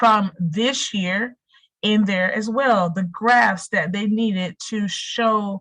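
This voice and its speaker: At a very slow pace, a woman speaks with a fairly high pitch, a bright, sharp tone and ordinary pitch variation. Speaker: school district program coordinator. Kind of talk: virtual meeting presentation.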